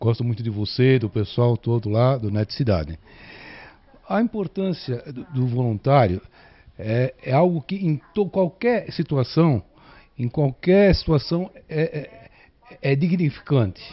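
Speaking at a fairly slow pace with long, frequent pauses, the man's pitch swings very widely. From São Paulo, ABC region; São Paulo, Brazil. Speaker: viewer; interviewee. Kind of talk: interview. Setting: at home. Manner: halting. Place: home room. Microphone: handheld.

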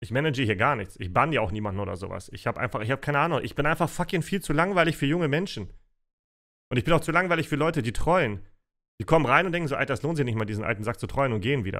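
Talking at a very fast pace with vocal fry, a man uses a fairly high pitch and very wide pitch swings over a quiet background. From Russia (Siberia), raised in Germany. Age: 30s. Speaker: streamer. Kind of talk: Q&A livestream chat. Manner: casual. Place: home room.

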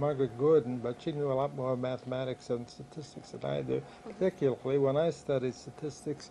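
Against noticeable background noise, a man talks at a moderate pace and medium pitch with fairly even intonation. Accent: American. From US Northeast (New Jersey, Philadelphia area). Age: 70s. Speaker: retired criminology professor. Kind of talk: oral history interview. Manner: halting, frequent fillers.

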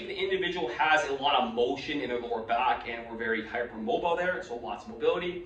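Audible room echo and light background noise surround this voice. A man speaks at a fairly quick pace. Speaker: fitness or physical therapy educator. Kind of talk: explanatory podcast-style talk. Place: office.

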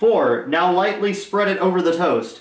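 A man speaks at a moderate pace in a high pitch with lively intonation. Strong room echo surrounds his voice.

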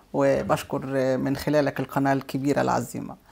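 At a moderate pace, a woman speaks with a very deep, low pitch, a dark, mellow tone and vocal fry. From Egypt. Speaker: businesswoman and cultural center head; guest. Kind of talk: TV interview. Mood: warm, earnest. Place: studio.

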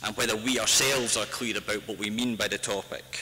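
Over light background noise, a man talks with a Scottish accent. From Scotland. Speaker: author and activist. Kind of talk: public talk. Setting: stage with audience. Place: hall. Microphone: podium.

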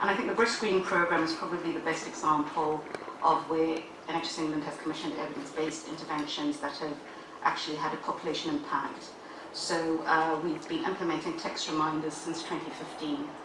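Room echo and noticeable background noise surround a woman's voice. She has a fairly low pitch and a flat, monotone intonation. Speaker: health service officer presenting to panel. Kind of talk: formal briefing. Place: meeting room.

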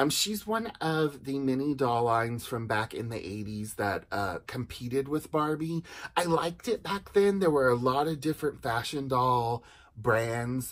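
Lively intonation carries a man speaking at a fairly slow pace. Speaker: doll collector reviewer. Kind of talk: casual review chat. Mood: enthusiastic, nostalgic. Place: home room. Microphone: phone near.

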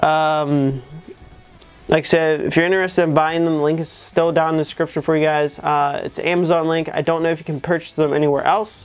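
Faint music plays in the background. The speaker talks at a fairly quick pace. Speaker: product reviewer. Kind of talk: casual review chat.

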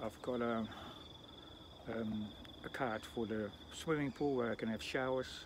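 A man speaks at a moderate pace and a medium pitch, with fairly even intonation and long, frequent pauses, in a dry recording with no echo but noticeable background noise. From Netherlands. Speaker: vlogger and bus driver; vlogger. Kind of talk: casual vlog. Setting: outdoors. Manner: halting. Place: open country. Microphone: phone near.

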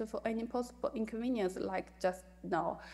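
A woman with a dark, mellow tone talks at a fairly quick pace. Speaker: remote conference presenter. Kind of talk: lecture. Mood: apologetic, polite. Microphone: video call.

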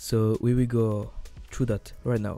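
A man with a non-native accent speaks at a fairly slow pace with fairly even intonation. Music plays in the background. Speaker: 3D game artist. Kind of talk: software tutorial narration. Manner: casual, hesitant.

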